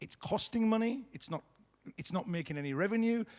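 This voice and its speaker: A man talks loudly with lively intonation. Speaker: company founder giving keynote. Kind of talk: conference keynote speech.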